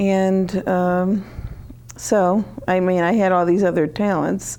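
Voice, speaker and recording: Speaking very slowly with very even loudness, a woman with an American accent keeps a medium pitch and a monotone, flat intonation. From Connecticut, US. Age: 60s. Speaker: author. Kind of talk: TV interview. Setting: TV studio.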